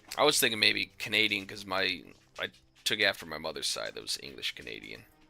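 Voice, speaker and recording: Music plays in the background as a man with an American accent speaks at a fairly quick pace, his loudness swinging widely. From US, Pennsylvania. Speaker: video game streamer. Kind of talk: casual live-stream chat while gaming. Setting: home gaming desk. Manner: relaxed, with many fillers.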